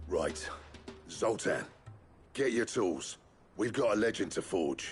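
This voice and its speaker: Putting on a raspy character voice, a man talks at a fairly slow pace and medium pitch with very even loudness, music playing in the background. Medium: video game.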